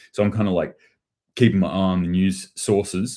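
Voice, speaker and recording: A man with an Australian accent speaks at a fairly quick pace in a very deep, low voice with a dark, mellow tone. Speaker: prepping channel host. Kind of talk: livestream commentary on news. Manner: casual, with many fillers.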